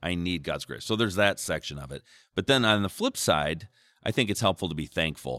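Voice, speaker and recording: Recorded dry and close with no echo against a silent background in a very clean recording, a man speaks with a very deep, low pitch and a bright, sharp tone. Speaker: church podcast host. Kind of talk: devotional panel discussion. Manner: joking, casual.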